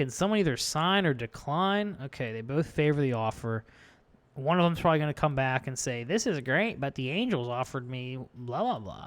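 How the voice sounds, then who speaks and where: A man's fairly high voice, mumbling, with lively intonation, on a very clean recording with a silent background. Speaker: gaming YouTuber. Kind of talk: gameplay commentary. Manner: casual stream of consciousness.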